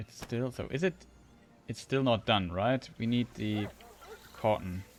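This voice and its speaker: Medium in pitch, a man with a German accent speaks at a moderate pace with ordinary pitch variation. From Germany. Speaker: video game streamer. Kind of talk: live gameplay commentary. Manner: halting.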